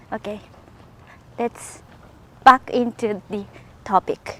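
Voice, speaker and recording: In a Japanese accent, a woman with a fairly high pitch and ordinary pitch variation speaks at a fairly slow pace, the sound dry and close with no echo. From Japan, rural area near Nagoya. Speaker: podcaster. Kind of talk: casual monologue. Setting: outdoors, walking. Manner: halting.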